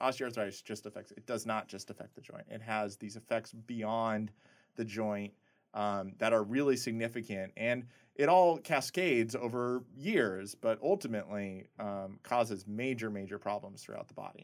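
In an ordinary speaking voice with an American accent, a man talks at medium pitch and a moderate pace with ordinary pitch variation and big swings in loudness, on a very clean recording with a silent background. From US Midwest, rural Nebraska. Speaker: biomedical engineering professor. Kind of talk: interview.

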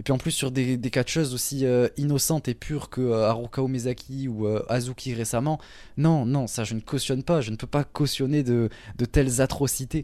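The recording is very clean, with a silent background. A man talks in a dark, mellow tone with fairly even intonation. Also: medium pitch for a man, moderate pace. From southern France, Toulouse. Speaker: podcast host, wrestling fan. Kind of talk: casual chat.

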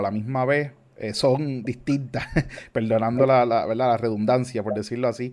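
Against a quiet background, a man in a medium pitch uses an ordinary speaking voice with ordinary pitch variation. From Puerto Rico. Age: 30s. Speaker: church member and youth podcast host. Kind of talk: casual chat about faith.

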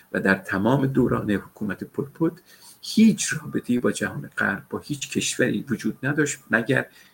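Speaking at a fairly slow pace, a man uses lively intonation over a layer of vocal fry. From Tehran, Iran. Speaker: political analyst. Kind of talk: live panel discussion. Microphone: laptop mic with some background noise.

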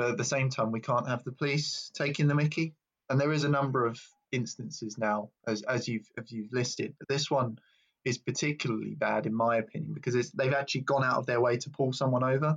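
A man talks at a fairly quick pace, with vocal fry. His pitch is medium and his intonation fairly even.

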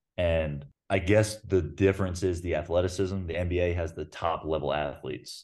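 A man with an American accent, very deep and low in pitch, at a moderate pace with hardly any pauses and fairly even intonation, over a quiet background. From US South. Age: 20s. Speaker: professional basketball player. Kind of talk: interview.

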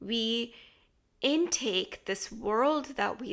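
A woman with an American accent speaks in an animated tone at a fairly high pitch, with ordinary pitch variation, on a very clean recording with a silent background. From US. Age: 20s. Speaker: podcast host. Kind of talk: monologue.

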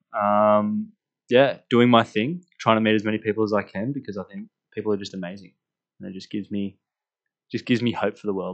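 A very fast man with an Australian accent and fairly even intonation. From Australia, rural New South Wales. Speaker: university student podcast co-host. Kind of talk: casual chat.

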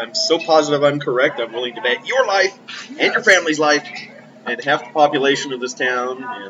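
A man's fairly high voice at a fairly quick pace, with big swings in loudness and noticeable background noise. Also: lively intonation. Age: 60s. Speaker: podcast co-host. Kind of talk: casual chat.

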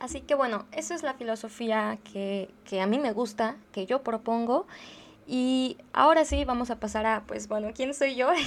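A woman speaks with a Mexican accent at a fairly slow pace. Her pitch is fairly high, with ordinary variation. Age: 20s. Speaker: podcast host, philosophy student. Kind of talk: casual monologue. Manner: conversational, with frequent fillers.

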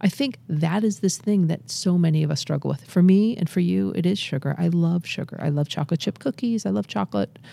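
This woman, with an American accent, talks at a fairly quick pace with hardly any pauses, her fairly low pitch swinging very widely. Her tone is dark and mellow, on a very clean recording with a silent background. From Massachusetts. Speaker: addiction medicine physician. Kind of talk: interview. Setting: studio.

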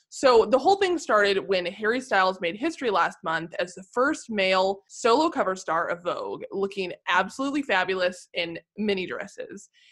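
A woman with a plain, everyday voice at medium pitch, lively intonation, a moderate pace and hardly any pauses. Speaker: podcast co-host and editor. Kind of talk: casual chat about pop culture.

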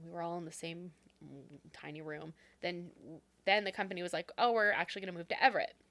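With a Pacific Northwest accent, a woman speaks at a very fast pace in a fairly low voice with a bright, sharp tone, fairly even intonation, big swings in loudness, and long, frequent pauses. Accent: Pacific Northwest American. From Renton, Washington State. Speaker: podcast co-host. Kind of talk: casual chat.

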